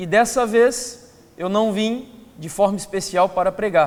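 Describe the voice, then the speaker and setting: A man speaks with ordinary pitch variation. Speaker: preacher. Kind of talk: sermon. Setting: church.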